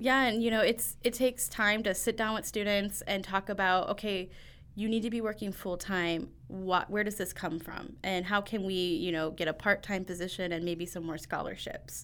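A woman with a Midwestern American accent, medium pitch and fairly even intonation, at a moderate pace with hardly any pauses, on a very clean recording with a silent background. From Northwest Indiana. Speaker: education program coordinator. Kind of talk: interview.

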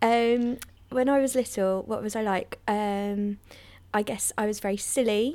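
A woman with a London accent speaks at a fairly slow pace in a dark, mellow tone. Her pitch is fairly high and her intonation fairly even. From North London. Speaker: comedian. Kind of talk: casual interview. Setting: remote call. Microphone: better microphone than host.

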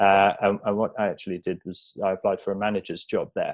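A man speaks with a southern English accent. His pace is fairly quick. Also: quiet background. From southern England, Buckinghamshire. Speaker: online fitness coach. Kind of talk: interview.

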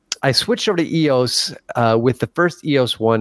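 This is a man with an ordinary speaking voice, talking at a moderate pace with lively intonation. The recording is very clean with a silent background and a dry, close sound with no echo. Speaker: co-host. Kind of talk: casual chat.

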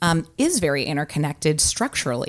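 A woman with a very deep, low pitch and lively intonation. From San Francisco Bay Area, California. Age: 30s. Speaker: political candidate. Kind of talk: interview. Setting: press room.

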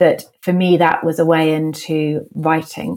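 Her very deep, low pitch shows ordinary variation as this woman speaks with a southern English accent. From London, England. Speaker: novelist. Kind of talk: interview.

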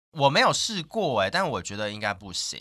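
A man is speaking. His pitch swings very widely. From Taiwan, Hakka area of Meinong, Kaohsiung. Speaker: radio host. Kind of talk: casual interview chat.

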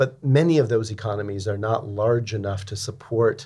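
A somewhat breathy man with a fairly low pitch and ordinary pitch variation. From San Francisco, US. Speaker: venture capital partner. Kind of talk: interview conversation.

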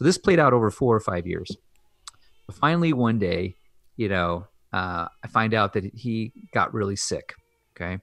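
A man with an unremarkable speaking voice talks at a medium pitch and moderate pace, with lively intonation. The recording is very clean, dry and close, with a silent background and no echo. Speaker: anesthesiologist. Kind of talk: casual interview.

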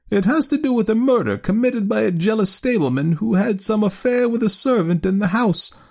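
Using a put-on character voice, a man speaks fairly quickly with a high pitch, vocal fry, a slightly mellow tone and lively intonation.

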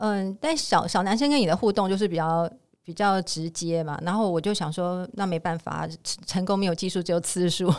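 In a very clean recording with a silent background, a woman has a plain, everyday voice at a medium pitch, with ordinary pitch variation and a fairly quick pace. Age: 50s. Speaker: insurance agent and part-time store clerk. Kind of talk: interview.

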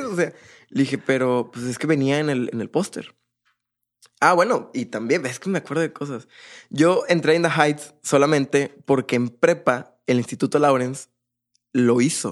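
Using a normal speaking voice, a man talks at a moderate pace with a fairly high pitch. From Monterrey, Mexico. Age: 20s. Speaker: drummer. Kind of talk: casual interview chat.

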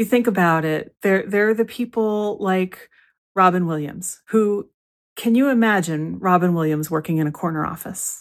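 Here a woman speaks at a medium pitch with ordinary pitch variation and a moderate pace. The recording is very clean, with a silent background. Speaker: creativity coach and podcast host. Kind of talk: pep talk. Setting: solo podcast. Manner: warm, encouraging, reassuring; conversational, repeats for emphasis.

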